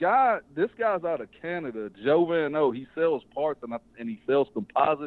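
A man's fairly high-pitched voice with a Southern US accent and lively intonation. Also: moderate pace. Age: young. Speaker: drag racer and race promoter. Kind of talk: interview. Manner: casual.

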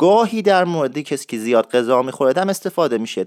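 A man's fairly high voice at a very fast pace with very wide pitch swings, dry and close with no echo, on a very clean recording against a silent background. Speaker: radio show host teaching Isfahani dialect. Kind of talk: tutorial.

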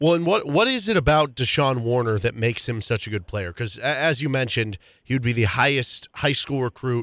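An unremarkable speaking voice is heard. The background is silent and the recording very clean. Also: man. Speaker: radio host. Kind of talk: radio sports talk show. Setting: radio studio.

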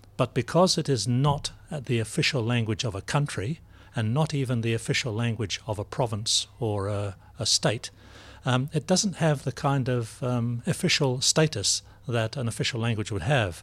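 Medium-pitched male speech, somewhat breathy, at a moderate pace with ordinary pitch variation, in a very clean recording with a silent background. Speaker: professor of languages. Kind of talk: interview discussion. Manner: formal.

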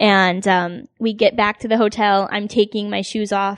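A woman's unremarkable speaking voice at a moderate pace with ordinary pitch variation, dry and close with no echo, against a quiet background. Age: 20s. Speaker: podcast guest, fan. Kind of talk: casual chat.

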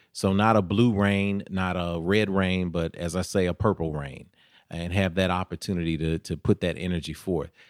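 With a Tennessee accent and fairly even intonation, the speaker keeps a moderate pace in a very clean recording with a silent background and a dry, close sound with no echo. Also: man, very deep, low pitch for a man. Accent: Southern US (Tennessee). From US South, Nashville, Tennessee. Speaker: mayoral candidate. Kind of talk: interview.

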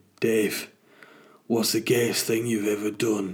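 A man puts on a raspy character voice in a Northern English accent, pitched at a medium level. He speaks fairly slowly in a monotone, flat delivery.

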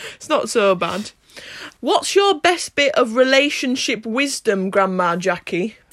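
The raised, projected voice swings very widely in pitch and moves at a moderate pace. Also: woman. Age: 20s. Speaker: podcast host, university student. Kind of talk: casual family chat. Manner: upbeat and giggly.

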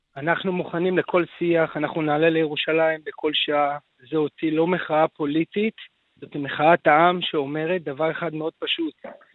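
A man's fairly high voice in a flat monotone at a moderate pace. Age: 40s. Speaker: protest organizer, business owner. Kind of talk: radio interview.

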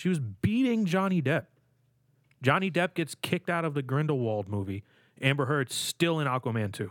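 With a dry, close sound and no echo, a man talks at a moderate pace in a fairly high pitch, his pitch swinging very widely. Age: 20s. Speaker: podcast co-host. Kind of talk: casual chat.

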